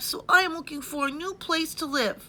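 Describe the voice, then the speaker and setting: An extremely high-pitched, put-on character voice moves at a moderate pace. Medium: read story.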